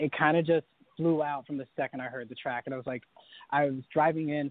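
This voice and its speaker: A man talks at a very fast pace with fairly even intonation and a fairly high pitch. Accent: American. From North Carolina. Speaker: singer. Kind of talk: interview.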